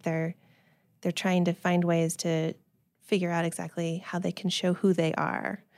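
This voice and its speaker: A woman's fairly low voice with a Californian accent at a moderate pace, dry and close with no echo. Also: very clean recording, silent background. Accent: General American (Californian). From US West Coast (Silicon Valley, California). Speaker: speech-language pathologist. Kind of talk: casual interview.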